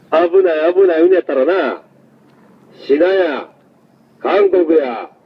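A man with a Kansai accent speaks in an angry tone at a moderate pace. His pitch varies in an ordinary way, over noticeable background noise. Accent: Kansai Japanese. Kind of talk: street protest heckling. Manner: angry, confrontational.

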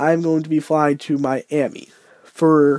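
Against a quiet background, the speech moves at a moderate pace with a dry sound and no echo. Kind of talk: casual vlog chat. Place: home room.

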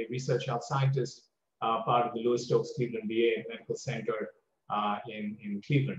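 A man speaks in a somewhat breathy voice. The recording carries audible room echo and light background noise. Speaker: guest lecturer. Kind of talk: lecture. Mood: warm, self-deprecating. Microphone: video call.

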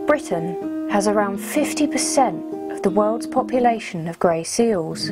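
Music plays in the background. The pace is fairly slow. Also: woman. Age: 20s. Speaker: wildlife camerawoman. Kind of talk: wildlife documentary narration.

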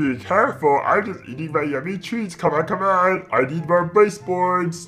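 Middle pitch at a moderate pace. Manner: dopey, food-obsessed.

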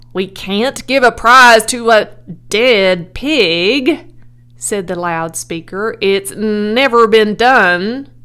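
This is plain reading aloud, with ordinary pitch variation throughout.

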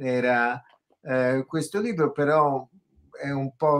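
Pitch variation is ordinary for this man. He speaks at a very slow pace. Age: 70s. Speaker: psychotherapist and author. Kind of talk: interview. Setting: video call. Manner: hesitant, many fillers. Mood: reflective, calm. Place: home room. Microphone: video call.

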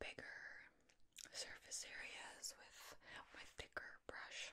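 Whispering at a very slow pace, a woman speaks. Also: big swings in loudness. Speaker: roleplay host. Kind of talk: soft-spoken roleplay to viewer.

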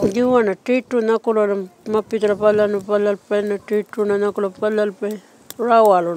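A woman speaks at a moderate pace in a medium pitch, her intonation monotone and flat, with a dry sound and no echo. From Western Australia. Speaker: community elder. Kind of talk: interview. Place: open country.

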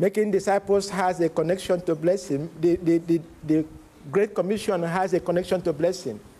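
A man with a high pitch and a dark, mellow tone talks with fairly even intonation. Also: moderate pace, very even loudness. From Nigeria. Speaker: preacher. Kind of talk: sermon. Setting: church conference with live interpreter. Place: church.

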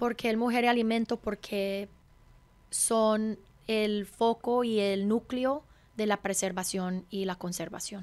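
A woman's very slow speech carries fairly even intonation. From California, US (Hungarian mother, Colombian father). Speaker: chef and restaurant owner; interviewee. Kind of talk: interview conversation. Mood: warm, reflective storytelling. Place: studio. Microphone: studio mic.

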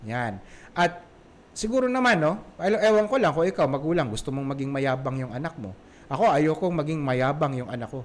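A man talks at a fairly quick pace with a fairly high pitch. His pitch swings very widely. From Visayas, Philippines. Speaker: parenting podcast host. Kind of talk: solo podcast talk. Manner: casual, with many fillers.

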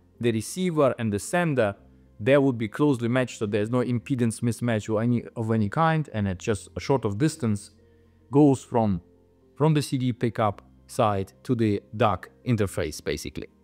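Over faint music in the background, a man talks with ordinary pitch variation. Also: moderate pace. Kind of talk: interview answer. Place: studio. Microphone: lapel.

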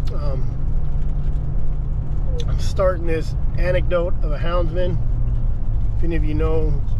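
Over loud background noise, a man speaks fairly slowly, leaving long, frequent pauses. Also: dry sound with no echo. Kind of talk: casual vlog chat. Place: car. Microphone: phone near.

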